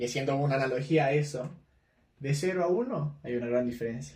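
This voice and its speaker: Audible room echo surrounds a man with a fairly high, somewhat breathy voice who talks at a fairly quick pace with fairly even intonation. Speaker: podcast host. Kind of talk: casual chat. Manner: fast.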